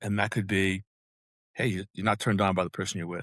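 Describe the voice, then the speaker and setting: In a dry, close recording with no echo and a silent background, a man speaks very fast. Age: 70s. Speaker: physician and company founder. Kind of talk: interview. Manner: halting, many self-corrections.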